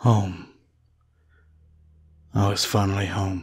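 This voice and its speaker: The man's very deep, low pitch comes at a fairly slow tempo. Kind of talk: ASMR storytelling. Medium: read story. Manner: soft, somber, reflective.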